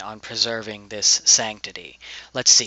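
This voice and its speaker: A man with a medium pitch talks at a moderate pace. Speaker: video blogger. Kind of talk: opinion rant. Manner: flat and even.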